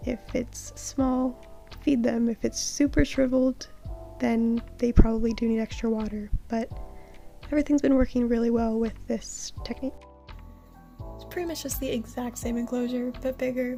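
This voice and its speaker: A woman with a high voice talks quietly and shakily at a moderate pace, flat and monotone in pitch but with big swings in loudness, while music plays in the background. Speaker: pet spider keeper. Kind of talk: casual talk to camera. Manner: quiet, shaky.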